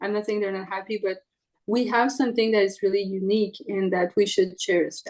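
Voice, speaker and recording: A woman speaks in a Quebec French accent at a fairly quick pace. Her intonation stays monotone and flat. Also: medium pitch for a woman. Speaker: trumpet player. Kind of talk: interview.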